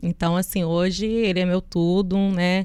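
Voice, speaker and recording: The recording is very clean, its background silent. A woman talks in a monotone, flat intonation. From US Northeast, Connecticut. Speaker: businesswoman. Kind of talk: interview.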